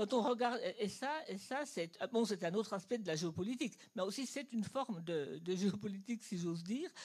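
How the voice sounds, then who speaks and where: A woman's somewhat breathy, fairly high voice with lively intonation. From Germany. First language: German (speaking French). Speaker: audience member. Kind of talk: audience question. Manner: halting.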